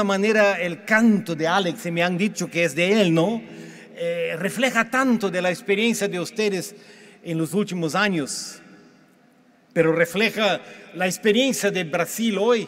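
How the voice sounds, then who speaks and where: With a Portuguese accent, the speaker talks at a fairly slow pace with ordinary pitch variation. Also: man. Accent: Portuguese-accented Spanish (portuñol). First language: Portuguese (speaking Spanish). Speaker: pastor. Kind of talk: sermon. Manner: halting.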